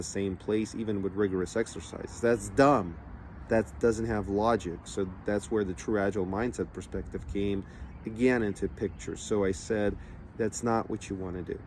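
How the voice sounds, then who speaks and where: Speaking with a fairly low pitch, a man keeps a moderate pace and ordinary pitch variation. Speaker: entrepreneurship coach. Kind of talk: motivational talk. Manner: casual, conversational with fillers.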